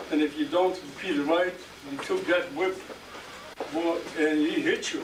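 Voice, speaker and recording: Noticeable background noise under a man's moderate-paced speech. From Poland. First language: Yiddish. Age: 70s. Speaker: Holocaust survivor. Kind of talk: testimony. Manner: halting.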